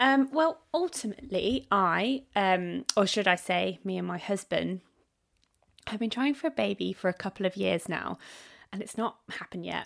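A woman talks at a medium pitch in an unremarkable speaking voice. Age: 30s. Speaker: podcast host and digital marketer. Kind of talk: solo monologue. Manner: casual, with fillers.

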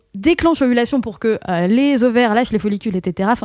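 A plain, everyday voice with lively intonation, recorded very cleanly against a silent background, with a dry, close sound and no echo. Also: woman. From northern France, Picardy. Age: 30s. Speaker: podcaster. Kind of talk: casual chat.

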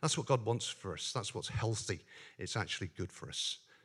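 In a very clean recording with a silent background, a man with a Northern Irish accent talks at a fairly low pitch with ordinary pitch variation. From Northern Ireland. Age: 50s. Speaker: lay preacher at a men's fellowship. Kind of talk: sermon; testimony.

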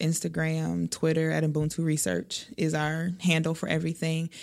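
A woman with a plain, everyday voice and an American accent speaks at a moderate pace with a fairly low pitch, on a very clean recording with a silent background. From Milwaukee, Wisconsin. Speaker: youth advocate and math teacher. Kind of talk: interview conversation.

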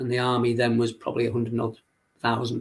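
A man's monotone voice with flat intonation and a Liverpool accent. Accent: Liverpool (Scouse) English. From Liverpool, England. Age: 60s. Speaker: youth football coach. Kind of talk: interview. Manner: halting.

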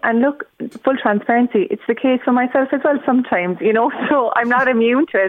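A woman with a Cork accent speaks at a moderate pace. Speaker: productivity coach. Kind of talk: radio interview. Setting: phone call.

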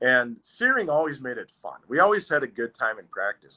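With an Upper Midwest accent, a man talks at a moderate pace using lively intonation. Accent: Upper Midwest American. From Wausau, Wisconsin (US Upper Midwest). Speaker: former hockey player. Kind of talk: casual interview.

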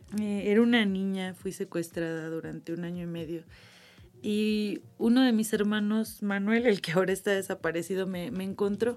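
A woman with an unremarkable speaking voice at medium pitch, moderate pace and fairly even intonation. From Mexico, Irapuato, Guanajuato. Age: 30s. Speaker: activist searching for missing relatives. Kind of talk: interview testimony.

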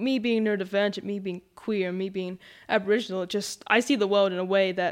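The speaker has an Australian accent and fairly even intonation. The pace is moderate. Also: woman. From Western Australia, Noongar. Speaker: young advocate. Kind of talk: casual group conversation.

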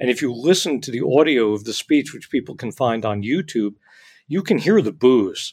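With an American accent and an ordinary speaking voice, a man of medium pitch talks at a fairly quick pace with lively intonation, on a very clean recording with a silent background. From US, New Jersey. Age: 60s. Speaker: author and journalist. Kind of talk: interview.

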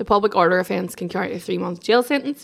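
Speaking at a medium pitch, this woman talks with an Irish accent. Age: 30s. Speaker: journalist. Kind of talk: casual chat. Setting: at her home.

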